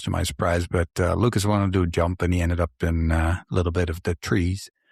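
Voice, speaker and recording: Very fast, somewhat breathy speech carries a slight Dutch accent and fairly even intonation. The sound is dry and close with no echo, over a quiet background. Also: man. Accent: slight Dutch accent in Canadian English. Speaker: podcast host. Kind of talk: casual chat.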